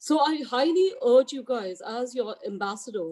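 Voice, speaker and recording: In an Indian accent, a woman speaks at a high pitch with a dark, mellow tone. Her pace is moderate and her pitch variation ordinary. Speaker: real estate agent, equity ambassador. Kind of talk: team meeting speech. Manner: halting.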